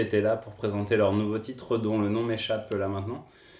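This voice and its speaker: With a normal speaking voice, this man delivers his words at a medium pitch and a moderate pace. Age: 30s. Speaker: podcast co-host, video game industry worker. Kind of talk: casual chat.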